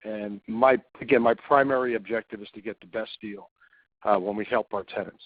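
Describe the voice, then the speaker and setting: Fairly even in intonation and fairly quick in pace, this is an ordinary speaking voice. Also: man, fairly low pitch for a man. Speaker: commercial real estate broker. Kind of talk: webinar presentation. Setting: online webinar.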